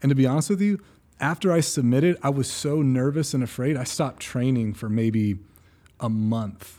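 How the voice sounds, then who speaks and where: With an American accent, a man speaks at a fairly quick pace and medium pitch, using lively intonation and a dark, mellow tone on a very clean recording with a silent background. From California, Central Coast. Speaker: running coach and athlete. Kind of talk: casual chat.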